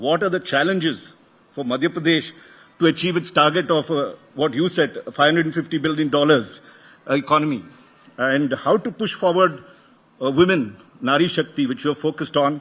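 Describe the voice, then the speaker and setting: In a South Indian accent, a man speaks at a fairly quick pace with long, frequent pauses. His pitch is fairly high and varies in an ordinary way. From South India, Karnataka. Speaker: media executive welcoming a conference. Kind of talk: welcome address at a conference. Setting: stage with audience. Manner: halting, with fillers and restarts.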